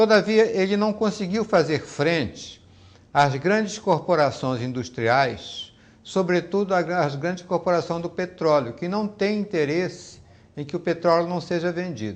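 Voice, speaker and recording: High in pitch, a man speaks at a fairly slow pace with lively intonation. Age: 70s. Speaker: law professor. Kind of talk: interview. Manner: halting, with repetitions.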